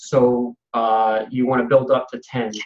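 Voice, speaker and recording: A man speaks at a medium pitch. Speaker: direct sales trainer. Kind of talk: training webinar. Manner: fast; hesitant fillers.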